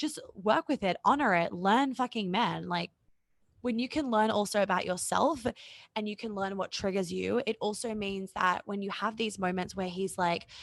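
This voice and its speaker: Over a quiet background, a woman speaks at medium pitch with ordinary pitch variation in a dry, close sound with no echo. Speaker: relationship coach. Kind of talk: podcast interview. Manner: fast.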